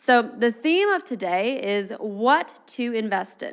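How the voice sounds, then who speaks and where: A very clean recording with a silent background, with a woman at a fairly high pitch, an animated tone and lively intonation. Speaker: personal finance teacher. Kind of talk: lecture.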